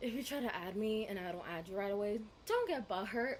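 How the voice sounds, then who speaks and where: Against noticeable background noise, a woman speaks with a bubbly tone and fairly high pitch. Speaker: vlogger. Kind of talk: storytime vlog. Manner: loud, bubbly; animated.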